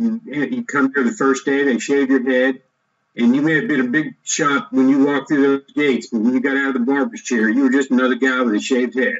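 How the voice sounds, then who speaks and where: Here is a man with an ordinary speaking voice and an American accent. He talks at a fairly quick pace with a fairly high pitch and ordinary pitch variation. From United States, grew up on Army posts. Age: 60s. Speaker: entrepreneur, former army officer. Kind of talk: interview, personal story. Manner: conversational, with fillers and restarts.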